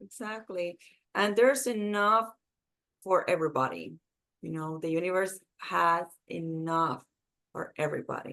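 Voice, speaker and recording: At a moderate pace, a woman with a fairly low pitch and a bright, sharp tone talks with ordinary pitch variation, big swings in loudness, and long, frequent pauses. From Puerto Rico. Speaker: marketing executive. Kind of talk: interview.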